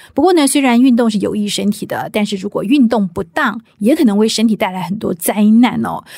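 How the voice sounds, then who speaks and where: The voice has a dark, mellow tone and sounds somewhat breathy. It moves at a fairly quick pace with hardly any pauses and ordinary pitch variation. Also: woman, fairly high pitch for a woman. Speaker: podcast host. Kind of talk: interview.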